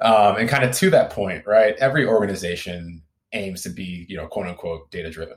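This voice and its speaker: A man with an American accent and a plain, everyday voice, fairly low in pitch with ordinary pitch variation, big swings in loudness and a fairly quick pace. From US Midwest. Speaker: content marketing manager. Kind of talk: interview.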